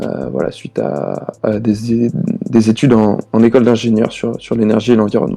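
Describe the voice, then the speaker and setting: A man talks at a medium pitch and a moderate pace. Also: ordinary pitch variation. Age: 20s. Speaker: sports and environment YouTuber, engineer. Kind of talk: podcast interview. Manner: halting, many hesitations and repetitions.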